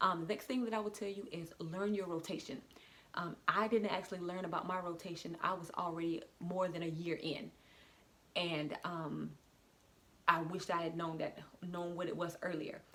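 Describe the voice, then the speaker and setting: A bright, sharp tone carries fairly even intonation at a moderate pace. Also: woman, fairly low pitch for a woman. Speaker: beauty vlogger. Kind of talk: casual tutorial vlog. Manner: hesitant, many fillers.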